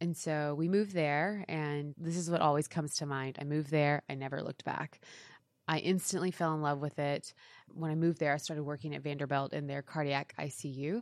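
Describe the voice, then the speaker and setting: In an American accent, a woman talks at a fairly quick pace with fairly even intonation. The recording is very clean, with a silent background. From East Texas, US. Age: 30s. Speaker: fashion blogger and influencer, former nurse. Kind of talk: casual interview. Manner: hesitant, many fillers.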